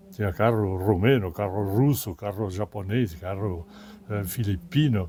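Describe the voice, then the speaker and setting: A man talks at a fairly slow pace, somewhat breathy, with a dark, mellow tone. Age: 90s. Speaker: expedition veteran and retired businessman. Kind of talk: interview. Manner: halting, with repetitions.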